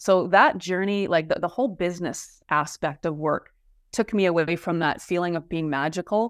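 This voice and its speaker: A woman with a plain, everyday voice and a fairly low pitch speaks at a moderate pace with ordinary pitch variation, on a very clean recording with a silent background. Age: 50s. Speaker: fascia therapist and wellness coach. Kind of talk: interview conversation.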